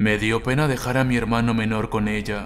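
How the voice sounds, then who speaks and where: At a moderate pace and medium pitch, the man talks in an unremarkable speaking voice. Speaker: creepypasta narrator. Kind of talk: first-person horror story narration, bedtime ghost story telling.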